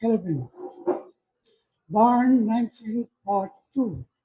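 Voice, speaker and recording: Speaking at a very slow pace, a man uses an extremely high pitch with fairly even intonation. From Belize, Sittee River. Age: 80s+. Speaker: village elder. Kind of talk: public meeting testimony.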